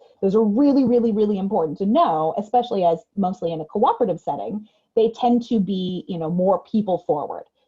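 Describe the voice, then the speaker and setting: A woman talks at a fairly quick pace with lively intonation at medium pitch. Her tone is dark and mellow, and somewhat breathy. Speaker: trainer. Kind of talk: webinar lecture. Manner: fast.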